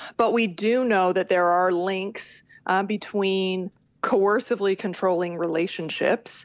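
Speaking fairly slowly in a normal speaking voice, a woman holds a medium pitch with fairly even intonation. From Canada. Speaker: criminology professor. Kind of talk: interview.

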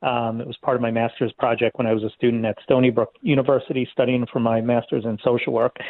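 A man with an American accent talks at a very fast pace with hardly any pauses. His intonation is monotone and flat. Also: medium pitch for a man. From Queens, New York City. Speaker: nonprofit leader. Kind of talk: interview.

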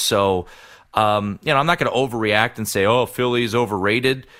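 A man with a plain, everyday voice, medium in pitch, at a moderate pace with ordinary pitch variation. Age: 30s. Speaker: sports betting radio host. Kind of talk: casual sports talk.

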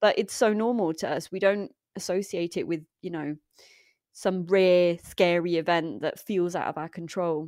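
In a very clean recording with a silent background, a woman with a fairly low voice speaks at a moderate pace with fairly even intonation. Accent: English. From England. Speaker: environmental activist. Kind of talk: interview conversation.

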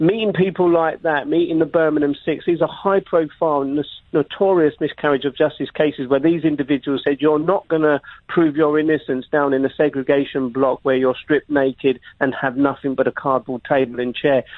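A man with a fairly high pitch talks with hardly any pauses and very even loudness. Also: fairly even intonation, fairly quick pace. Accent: London. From London, England. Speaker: investigative journalist and TV presenter. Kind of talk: radio interview. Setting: phone call from London.

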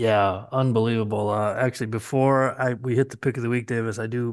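An ordinary speaking voice talks at a moderate pace with fairly even intonation. The background is quiet. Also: man. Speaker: machinery auction analyst. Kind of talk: casual chat.

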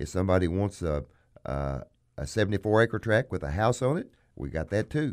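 A man with a Southern US accent at a fairly quick pace, very wide pitch swings, in a very clean recording with a silent background. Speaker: auctioneer and radio show host. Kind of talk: casual radio talk show. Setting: studio. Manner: fast talker.

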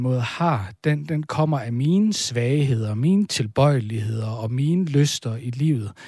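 A man at medium pitch, somewhat breathy, with ordinary pitch variation and a fairly slow pace, on a very clean recording with a silent background. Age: 30s. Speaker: folk high school teacher. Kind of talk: casual chat. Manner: halting.

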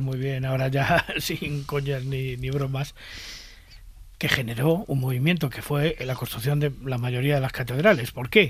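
A man with a fairly high pitch talks at a moderate pace in a somewhat breathy voice. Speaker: podcast co-host. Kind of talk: casual chat.

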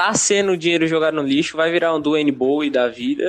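A man speaks with music playing in the background. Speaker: NFL fan podcaster. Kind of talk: casual chat.

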